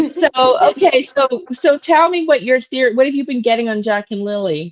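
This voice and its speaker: Using very wide pitch swings, a woman talks at a moderate pace in a high voice, with a dry, close sound and no echo. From Canada. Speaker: tarot reader and psychic medium. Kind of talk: casual livestream chat.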